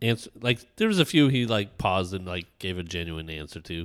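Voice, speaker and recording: On a very clean recording with a silent background, a man speaks at a moderate pace with a very deep, low pitch. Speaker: podcast host. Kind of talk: casual chat. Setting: in person, Airbnb.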